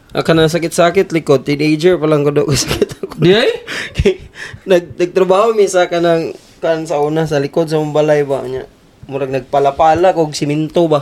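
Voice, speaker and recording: A man talks at a fairly quick pace with a fairly high pitch. His intonation stays fairly even over noticeable background noise. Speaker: podcast co-host. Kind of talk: casual chat.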